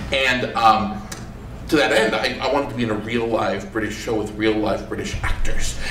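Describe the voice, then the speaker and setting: A man with an American accent, medium in pitch with ordinary pitch variation, amid audible room echo and noticeable background noise. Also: moderate pace. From Maine, US. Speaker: monologist. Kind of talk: post-show talkback. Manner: halting, many repeats.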